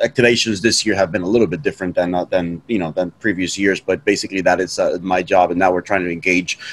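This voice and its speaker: Very deep and low-pitched, a man talks at a very fast pace with hardly any pauses. His intonation is fairly even. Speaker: guest. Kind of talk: interview answer. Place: home room. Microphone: video call.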